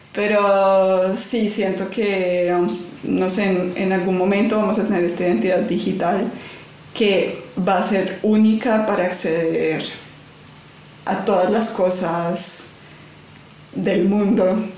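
In a room with audible echo and noticeable background noise, a woman with a medium pitch speaks very slowly in a monotone, flat intonation, with very even loudness and long, frequent pauses. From Colombia, Cali. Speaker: designer and consultant. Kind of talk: casual interview.

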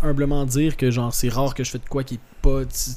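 The voice has a dark, mellow tone and fairly even intonation at a very fast pace. Room echo is audible. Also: man. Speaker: actor, musician and comedian. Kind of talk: casual chat.

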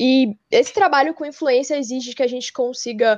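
Over a quiet background, a woman with a high pitch speaks at a moderate pace. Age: 20s. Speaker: engineer and junior enterprise network president. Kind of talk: podcast interview.

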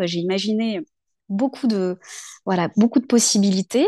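With a dark, mellow tone and medium pitch, a woman speaks at a moderate pace with ordinary pitch variation. The sound is dry and close with no echo, and the background is quiet. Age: 40s. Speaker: local political activist. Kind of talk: interview conversation.

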